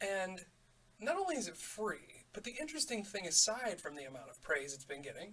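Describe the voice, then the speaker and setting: A man speaks quietly at a fairly quick pace, his high voice bright and sharp in tone. His pitch swings very widely and his loudness rises and falls a lot. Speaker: gaming YouTuber. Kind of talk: let's play commentary.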